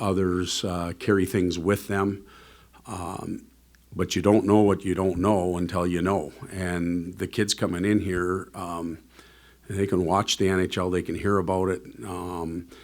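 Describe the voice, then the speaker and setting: A man speaks in a very deep, low pitch at a fairly slow pace. His intonation is monotone and flat. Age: 50s. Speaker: NHL head coach. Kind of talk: press conference Q&A.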